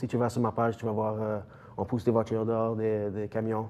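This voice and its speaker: At a moderate pace, a man talks in a medium pitch. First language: English (speaking French). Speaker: strength coach, gym owner. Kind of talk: TV interview. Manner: halting, many hesitations.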